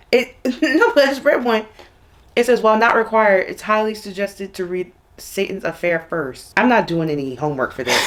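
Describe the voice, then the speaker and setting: Through noticeable background noise, a woman speaks fairly quickly in a fairly high voice with very wide pitch swings. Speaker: booktuber. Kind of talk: casual chat.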